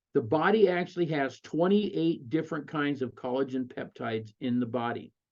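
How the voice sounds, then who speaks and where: At a moderate pace, a man talks with a fairly high pitch and ordinary pitch variation. He has an ordinary speaking voice. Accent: American. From Colorado. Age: 60s. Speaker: network marketing presenter. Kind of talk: sales pitch. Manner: conversational with fillers.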